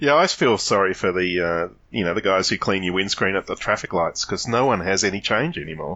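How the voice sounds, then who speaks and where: A man with an Australian accent, very deep and low in pitch, ordinary pitch variation, a fairly quick pace and hardly any pauses. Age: 50s. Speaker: podcast guest. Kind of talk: casual chat.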